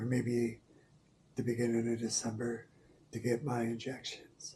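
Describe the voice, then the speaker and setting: The voice is somewhat breathy, with a dark, mellow tone. It moves at a moderate pace with monotone, flat intonation. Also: man, medium pitch for a man. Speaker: quadriplegic vlogger. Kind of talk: casual health update vlog. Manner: hesitant, with fillers.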